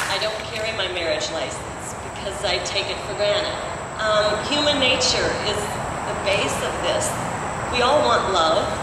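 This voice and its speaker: Over loud background noise and audible room echo, a woman with an American accent speaks at a moderate pace, leaving long, frequent pauses. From US Midwest. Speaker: rally speaker, straight ally. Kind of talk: rally speech. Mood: earnest, warm. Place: street.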